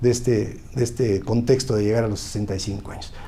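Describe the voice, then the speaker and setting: A somewhat breathy man at a moderate pace, with audible room echo. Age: 60s. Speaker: politician, former university rector. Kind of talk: interview. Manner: halting.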